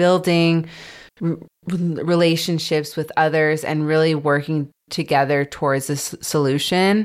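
Over a silent background in a very clean recording, a woman speaks very slowly at a very deep, low pitch with fairly even intonation. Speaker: podcast host and stuttering advocate. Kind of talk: interview conversation. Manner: stutters.

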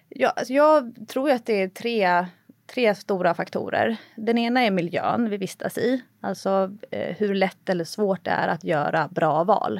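Against a very clean recording with a silent background, a woman talks at a fairly slow pace in a plain, everyday voice, with a medium pitch and lively intonation. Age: 30s. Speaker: personal trainer and author. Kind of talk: casual chat.

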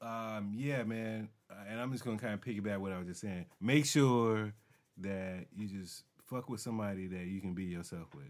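On a very clean recording with a silent background, a man with a normal speaking voice talks at a moderate pace, his pitch fairly low with ordinary variation. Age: 40s. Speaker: podcast co-host and studio owner. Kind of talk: casual chat.

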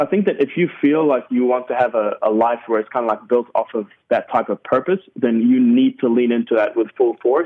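A man of medium pitch talks at a fairly quick pace with a New Zealand accent, keeping his loudness very even. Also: ordinary pitch variation. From New Zealand, Sudanese roots. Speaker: stand-up comedian. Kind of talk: interview.

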